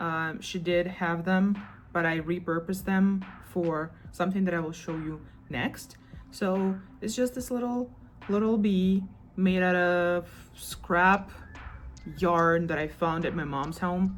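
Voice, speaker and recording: Over music in the background, a woman with a non-native accent speaks fairly slowly with ordinary pitch variation and long, frequent pauses. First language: not English. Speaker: crochet vlogger. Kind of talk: casual vlog show-and-tell. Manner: casual, chatty.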